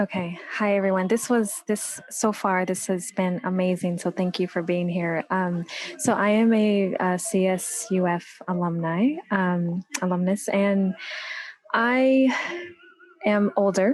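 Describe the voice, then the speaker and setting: Over noticeable background noise, a woman talks at a fairly slow pace with very even loudness, a medium pitch and ordinary pitch variation. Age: 40s. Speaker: audience member asking a question. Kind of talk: audience question.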